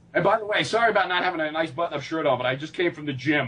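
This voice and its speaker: A man with a New York accent speaks at a fairly high pitch for a man. His pitch varies normally, and there's noticeable background noise. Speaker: fitness coach and motivational speaker. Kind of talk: interview. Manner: animated.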